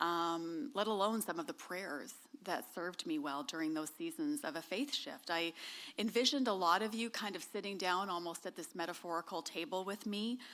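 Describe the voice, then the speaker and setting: On a very clean recording with a silent background, a woman talks with a Canadian accent at a medium pitch. Her intonation is lively and her pace moderate. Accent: noticeable accent, Canadian. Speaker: author. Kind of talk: talk to an audience. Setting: stage with audience. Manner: many filler ums.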